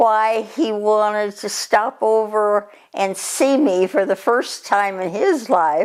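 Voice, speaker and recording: A woman's fairly high voice at a very slow pace, on a very clean recording with a silent background. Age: 80s+. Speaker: centenarian interviewee. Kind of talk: interview. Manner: halting.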